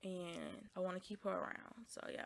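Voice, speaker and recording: A woman's medium-pitched voice at a moderate pace. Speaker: podcast host. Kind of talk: casual monologue. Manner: dry, flat delivery.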